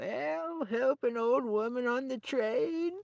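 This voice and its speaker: The speaker uses a put-on character voice with a fairly high pitch at a fairly slow pace. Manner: pleading, asking for help.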